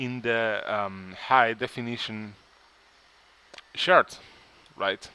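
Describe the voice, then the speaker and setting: A man with a medium pitch, ordinary pitch variation, a non-native accent and a very slow pace. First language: not English. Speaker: 3D modeling tutorial creator. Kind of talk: tutorial. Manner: halting.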